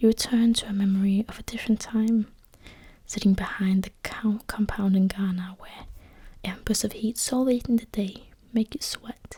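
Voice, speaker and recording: Whispering at a moderate pace, a woman is soft-spoken and somewhat breathy. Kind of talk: soft-spoken story reading, literary fiction. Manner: soft-spoken, whispered.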